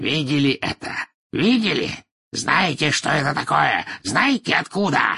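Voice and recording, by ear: In a put-on character voice, a man speaks at a fairly slow pace and fairly high pitch with big pitch swings, a bright, sharp tone, vocal fry and a husky, rough edge.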